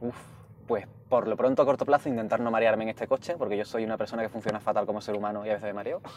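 Speaking with an Andalusian accent, a man goes at a very fast pace. His pitch is medium and his intonation fairly even. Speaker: activist and writer. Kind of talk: casual chat. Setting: in a car.

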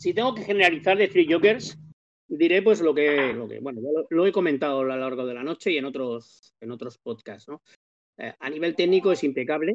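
A man's fairly high, quick-paced voice, a normal speaking voice, with lively intonation and big swings in loudness. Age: 50s. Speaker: comics podcast panelist. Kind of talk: casual chat.

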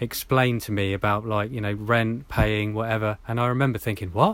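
With a southern English accent, a man talks at a fairly quick pace and a medium pitch. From southern England, Hampshire. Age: 40s. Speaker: off-grid bushcrafter. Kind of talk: interview.

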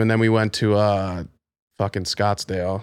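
An ordinary speaking voice from a man with an American accent, ordinary pitch variation, on a very clean recording with a silent background. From Maryland, Baltimore County (Pikesville). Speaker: DJ and model. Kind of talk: casual chat.

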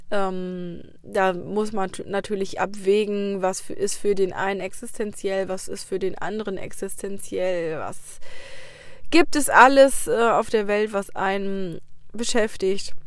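A woman talks very slowly, her medium-pitched voice holding fairly even intonation. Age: 30s. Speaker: podcaster, teacher on parental leave. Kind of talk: casual personal monologue. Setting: in a car. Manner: chatty, with many fillers.

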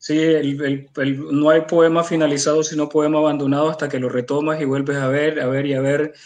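A man speaks in a fairly high register for his sex. His intonation is flat and monotone, at a moderate pace. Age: 40s. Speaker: literary critic. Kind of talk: book presentation.

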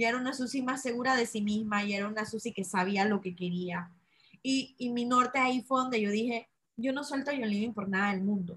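A woman's fairly high voice with a Panamanian accent, fairly quick pace and ordinary pitch variation. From Panama, Chitré (interior). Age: 30s. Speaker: entrepreneur selling essential oils. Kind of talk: interview.

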